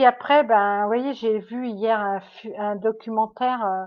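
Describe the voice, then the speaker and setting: A woman speaks at a very slow pace with a fairly high pitch. Her intonation is fairly even. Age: 60s. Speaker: medium. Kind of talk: livestream monologue. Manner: halting.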